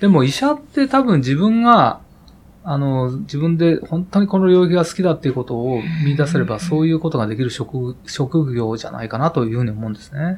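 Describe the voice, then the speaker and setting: A man's somewhat breathy, fairly high voice with lively intonation at a fairly quick pace. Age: 50s. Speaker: heart surgeon. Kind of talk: interview. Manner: hesitant, many fillers.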